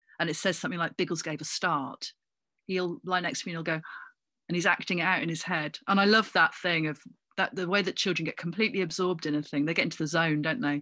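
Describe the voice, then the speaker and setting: A woman speaks very fast in a fairly low pitch with a bright, sharp tone. Her pitch varies in an ordinary way against a quiet background. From Cornwall (Redruth). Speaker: actor and comedian. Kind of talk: casual interview.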